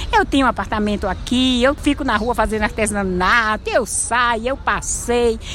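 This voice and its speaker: Over noticeable background noise, a woman speaks at a moderate pace with hardly any pauses. Her fairly high voice holds very even loudness and ordinary pitch variation. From Bahia, Brazil (Cruz das Almas). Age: 60s. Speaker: street artisan and vendor. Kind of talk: interview.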